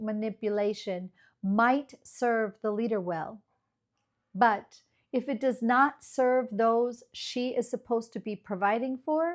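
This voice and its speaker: A woman with a Midwestern American accent speaks very slowly at a fairly high pitch on a very clean recording with a silent background. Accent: flat Midwestern American. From US Midwest, Iowa. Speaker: ESL teacher, channel host. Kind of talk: scripted lecture. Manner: measured, formal.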